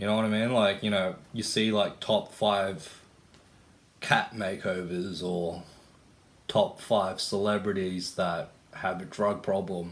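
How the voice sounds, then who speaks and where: A man with an Australian accent talks at a very slow pace. His fairly low voice stays monotone, with flat intonation. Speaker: vlogger. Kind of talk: casual monologue vlog. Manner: casual, filler-heavy.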